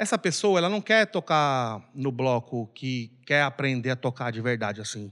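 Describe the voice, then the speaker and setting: On a very clean recording with a silent background, a man talks at a medium pitch with very wide swings in his pitch. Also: moderate pace. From Brazil, Belém, Pará. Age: 40s. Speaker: samba percussionist and bar owner. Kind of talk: casual chat. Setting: bar.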